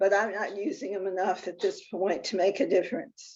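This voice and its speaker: A woman's medium-pitched voice at a moderate pace. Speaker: person living with Parkinson's. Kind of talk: testimony. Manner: halting.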